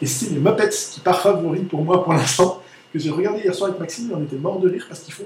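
Noticeable background noise and audible room echo surround the recording. A man speaks at a fairly quick pace with lively intonation. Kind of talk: casual chat.

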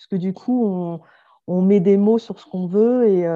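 Over a quiet background, a woman with a medium pitch and a dark, mellow tone speaks with ordinary pitch variation. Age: 40s. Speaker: entrepreneur. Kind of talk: interview. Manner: hesitant with fillers.

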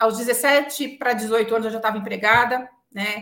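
Here a woman speaks in a São Paulo accent. Her pitch is fairly high and her pace moderate. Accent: Paulistano Brazilian Portuguese. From São Paulo city, Brazil. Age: 40s. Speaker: telecom executive. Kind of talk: interview conversation.

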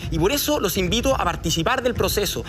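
With music in the background and audible room echo, a man speaks at a fairly quick pace with lively intonation. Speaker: political candidate. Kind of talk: televised debate.

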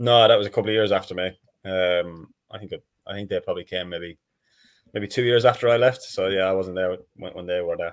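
A man with an Irish accent talks at a fairly quick pace in a fairly low pitch, his intonation fairly even but his loudness swinging widely. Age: 30s. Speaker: professional footballer. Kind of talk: casual chat.

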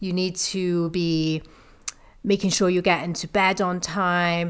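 A woman with a Liverpool accent speaks at a fairly low pitch and a fairly slow pace. Her intonation is monotone and flat. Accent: Liverpool (Scouse). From northern England, Liverpool. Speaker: fitness coach, podcast co-host. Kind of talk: casual chat.

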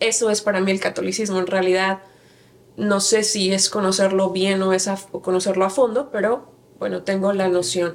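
A woman talks with fairly even intonation. Hers is an unremarkable speaking voice. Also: medium pitch for a woman, moderate pace. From Mexico, Querétaro. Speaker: church member, women's teacher. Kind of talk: interview testimony.

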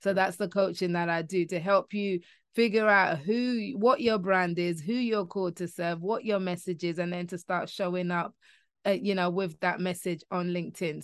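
Speaking at a moderate pace in a London accent, a woman uses a medium pitch and fairly even intonation against a quiet background. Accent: British English, London. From London, England. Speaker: LinkedIn coach and author. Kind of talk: interview conversation.

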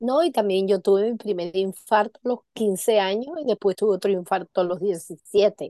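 A woman's dark, mellow voice sits at medium pitch and moves at a moderate pace. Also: ordinary pitch variation, dry, close sound with no echo. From Venezuela. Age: 50s. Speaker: charity founder. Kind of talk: interview.

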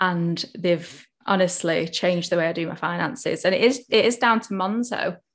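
Against a quiet background, a woman speaks at a moderate pace in a plain, everyday voice pitched fairly low. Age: 20s. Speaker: accountant and financial educator. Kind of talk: casual chat.

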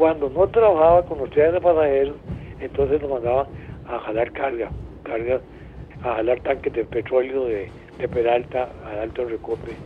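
Fairly high pitch for a man, ordinary pitch variation and a moderate pace, with noticeable background noise. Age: 80s+. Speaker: retired train driver. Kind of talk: phone interview. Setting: phone call.

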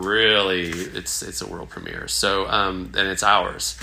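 Noticeable background noise and audible room echo surround a man with an American accent and a fairly low pitch. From US South (Southwest Virginia, East Tennessee). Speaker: theatre owner and playwright. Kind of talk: casual interview chat. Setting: on location.

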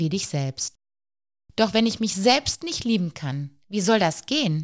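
A woman speaks at a fairly slow pace, her pitch swinging very widely. The sound is dry and close with no echo, on a very clean recording with a silent background. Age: 40s. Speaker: psychological counselor and podcast host. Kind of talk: personal storytelling monologue.

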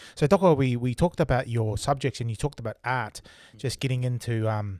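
A man of medium pitch with a New Zealand accent at a fairly quick pace, ordinary pitch variation, dry and close with no echo, in a very clean recording over a silent background. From Tonga. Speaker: podcast host. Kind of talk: casual interview chat. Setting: live stream. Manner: friendly, casual.

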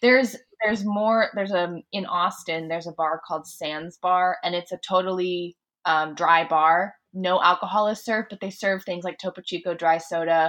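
Fairly low in pitch, a woman speaks in an unremarkable speaking voice at a moderate pace. Her intonation is fairly even. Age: 30s. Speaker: guitarist. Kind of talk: casual chat.

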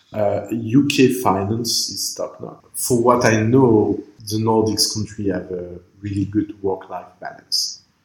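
Very slow speech with hardly any pauses, in a French accent. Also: man, fairly low pitch for a man, fairly even intonation. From Lebanon, raised in France. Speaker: startup incubator co-founder and author. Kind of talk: interview. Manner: halting, many fillers and repetitions.

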